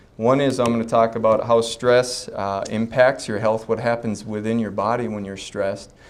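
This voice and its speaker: A man speaks at a medium pitch with fairly even intonation and hardly any pauses. Noticeable background noise sits behind him. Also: moderate pace. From North Dakota (Fargo), US Upper Midwest. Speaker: chiropractor giving a talk. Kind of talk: health talk to a live audience. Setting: stage with audience at a health expo. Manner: casual, joking, with frequent fillers.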